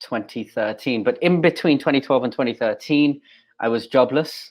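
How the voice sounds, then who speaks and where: In an English accent, a man speaks at a fairly high pitch with ordinary pitch variation. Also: moderate pace. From England. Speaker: pastor. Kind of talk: interview. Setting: video recording. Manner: halting, with fillers.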